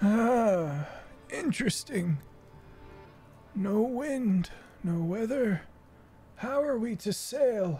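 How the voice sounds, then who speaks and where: Over clear background music, a man puts on a character voice pitched high, speaking at a very slow pace with long, frequent pauses. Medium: actual play.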